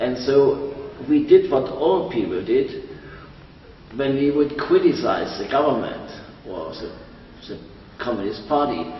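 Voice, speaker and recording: A man talks at a fairly slow pace, with long, frequent pauses and big swings in loudness. Noticeable background noise and audible room echo fill the recording. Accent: German. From East Germany, Dresden. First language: German. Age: 70s. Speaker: interviewee. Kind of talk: interview.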